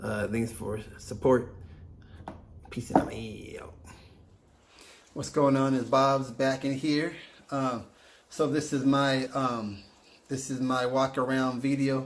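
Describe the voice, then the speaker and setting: Long, frequent pauses mark a man's very slow delivery at medium pitch, with monotone, flat intonation. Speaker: car hobbyist vlogger. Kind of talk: vehicle walk-around video. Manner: halting, repeated words; casual.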